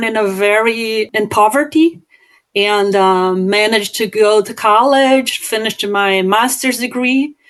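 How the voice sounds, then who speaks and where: The speech moves at a fairly slow pace. Its intonation is fairly even. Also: woman. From southern Brazil. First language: Portuguese. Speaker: business owner and author. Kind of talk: podcast interview. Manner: halting, frequent fillers and repetitions.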